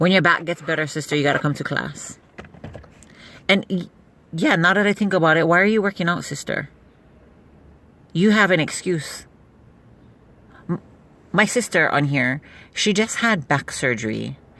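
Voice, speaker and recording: Her pitch fairly low and her tone bright and sharp, a woman with vocal fry speaks with lively intonation and long, frequent pauses. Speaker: beauty product seller livestreamer. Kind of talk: casual live stream chat. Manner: fast.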